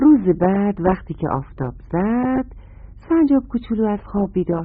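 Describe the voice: The speaker is plainly reading aloud. The intonation is lively.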